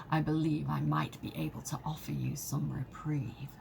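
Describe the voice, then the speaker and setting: A put-on character voice speaks at a fairly slow pace in a theatrical tone. Clear background noise can be heard. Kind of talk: formal, archaic. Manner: bad, theatrical mystic impression.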